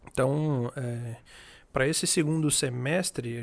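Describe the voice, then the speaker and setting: A man with an ordinary speaking voice and medium pitch talks with fairly even intonation in a very clean recording with a silent background. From Tocantins, Brazil. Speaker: music startup founder, former sertanejo singer. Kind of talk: casual chat.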